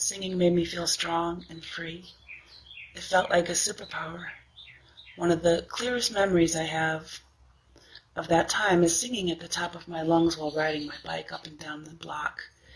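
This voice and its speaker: A woman speaks at a fairly low pitch with fairly even intonation and a moderate pace. Noticeable background noise runs throughout. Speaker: singer. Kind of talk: personal testimony.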